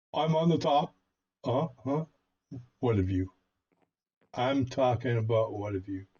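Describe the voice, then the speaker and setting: Somewhat breathy and dark, mellow in tone, a man at medium pitch speaks at a fairly slow pace with lively intonation and long, frequent pauses. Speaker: gaming YouTuber. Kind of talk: gameplay commentary. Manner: casual, hesitant with fillers.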